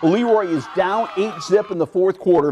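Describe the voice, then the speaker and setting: A man speaks at a moderate pace in an animated, excited tone over a quiet background. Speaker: sports broadcaster. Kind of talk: live sports commentary over game highlights. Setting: TV studio sports show. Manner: animated, excited play-by-play delivery.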